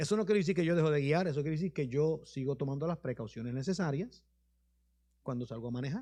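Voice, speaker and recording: Against a quiet background, a man talks very fast in a fairly high voice with a dark, mellow tone and lively intonation. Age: 60s. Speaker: bishop. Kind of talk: sermon with questions and answers. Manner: informal, conversational.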